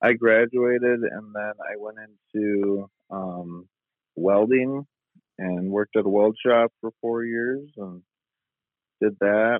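A man's very slow speech at fairly low pitch, fairly even in intonation, with big swings in loudness and long, frequent pauses. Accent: American. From West Michigan, US. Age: 30s. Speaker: machine builder and father. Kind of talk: casual interview. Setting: phone or remote call.

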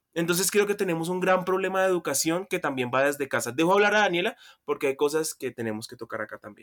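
At a very fast pace, a high-pitched man speaks with lively intonation and big swings in loudness in a dry, close sound with no echo. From Colombia, Buenaventura (Pacific coast, Valle). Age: 20s. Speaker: law student, podcast guest. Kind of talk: casual political discussion.

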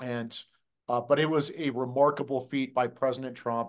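Against a quiet background, a man with an American accent speaks in an ordinary speaking voice at a moderate pace and fairly high pitch. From US Midwest, Des Moines, Iowa. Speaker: conservative legal activist. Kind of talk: political interview.

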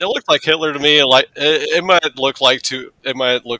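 Here is a normal speaking voice at a fairly quick pace. The sound is dry and close, with no echo. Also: man. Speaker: podcast co-host. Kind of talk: casual chat. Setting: video call.

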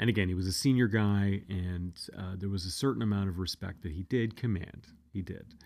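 An ordinary speaking voice, with ordinary pitch variation and a fairly quick pace, comes across on a very clean recording with a silent background. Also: man, fairly low pitch for a man. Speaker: podcast host. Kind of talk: storytelling monologue, casual. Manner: casual, filler-heavy, conversational.

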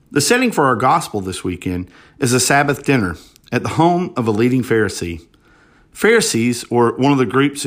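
An ordinary speaking voice from a man with an American accent comes through at medium pitch, a fairly quick pace and lively intonation, on a very clean recording with a silent background. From US South, Alabama. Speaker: deacon. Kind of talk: sermon; testimony.

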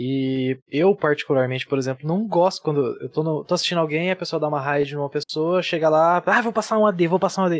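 A man's plain, everyday voice, fairly high in pitch with ordinary pitch variation, at a fairly quick pace in a dry, close sound with no echo. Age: 20s. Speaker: streamer and civil engineer. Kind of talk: casual chat.

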